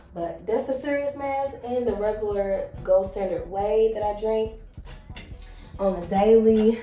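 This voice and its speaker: Speaking fairly slowly with a strong Southern US accent, a woman uses a fairly high pitch while room echo and noticeable background noise come through. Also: ordinary pitch variation. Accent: strong Southern country twang. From Kentucky, US. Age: 30s. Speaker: lifestyle vlogger. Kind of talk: casual vlog talk to camera. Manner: loud.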